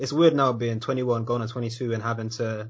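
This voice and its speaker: The speaker is a man. There's some breathiness in how he sounds. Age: 20s. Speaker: podcast host. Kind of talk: casual chat.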